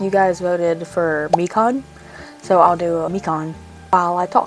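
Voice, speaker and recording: Music plays in the background. A woman speaks at a medium pitch. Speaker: cosplay content creator. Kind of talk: makeup tutorial with casual talk.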